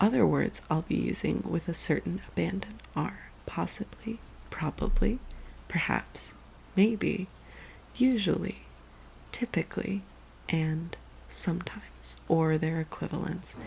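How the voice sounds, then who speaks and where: A woman speaks at a fairly slow pace. Her speech has long, frequent pauses. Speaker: ASMR creator and illustrator. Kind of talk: soft-spoken ASMR book reading for sleep. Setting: in bed with rain sounds in the background, close mic. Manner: slow, gentle reading with occasional hesitation over scientific names.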